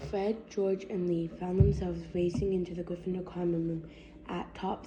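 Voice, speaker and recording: Flat, monotone intonation plays over music in the background. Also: woman. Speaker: fan fiction reader. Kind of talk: reading aloud. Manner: slow; halting.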